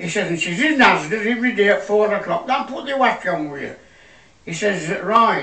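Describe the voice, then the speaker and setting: With a raised, projected voice, a man speaks high for his sex at a moderate pace, using lively intonation and big swings in loudness, amid audible room echo and noticeable background noise. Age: 80s+. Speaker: comedian. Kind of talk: stand-up.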